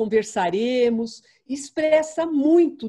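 Against a quiet background, a woman speaks in a dark, mellow tone with lively intonation. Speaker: panelist. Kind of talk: panel talk, personal testimony. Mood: warm, reminiscing. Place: home room. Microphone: video call.

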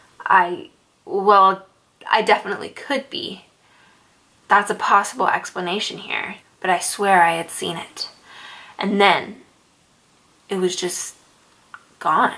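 A woman's bright, sharp voice with vocal fry, very slow and fairly even in intonation, broken by long, frequent pauses. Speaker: storyteller. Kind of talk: scary story narration. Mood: soft, tense, somber. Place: home room.

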